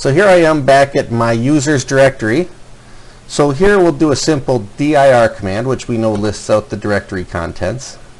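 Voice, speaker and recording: Lively intonation marks a man's speech at a moderate pace, with noticeable background noise. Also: medium pitch for a man. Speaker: college instructor. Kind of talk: tutorial. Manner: loud. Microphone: quiet mic, turned up.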